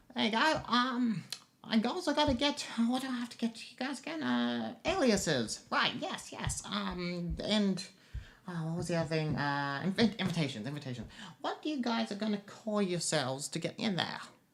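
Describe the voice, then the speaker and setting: In a put-on character voice that sounds female, fairly high pitched, the speaker moves at a moderate pace with very wide pitch swings and long, frequent pauses. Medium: actual play. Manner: jittery, forgetful.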